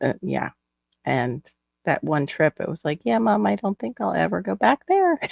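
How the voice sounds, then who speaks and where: In a very clean recording with a silent background and a dry, close sound with no echo, a woman with a Florida accent talks at a moderate pace. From Florida, US. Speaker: live stream host, crafter. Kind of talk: casual chat.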